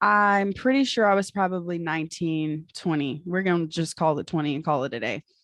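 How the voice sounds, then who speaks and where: A woman at a fairly quick pace with lively intonation. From Texas, Fairfield. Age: 20s. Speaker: military veteran and caregiver. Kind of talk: casual podcast chat, personal story. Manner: animated.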